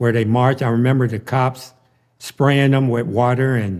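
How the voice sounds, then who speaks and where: Fairly even intonation runs through a man's medium-pitched speech. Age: 60s. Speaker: former street figure telling life story. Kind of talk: interview testimony.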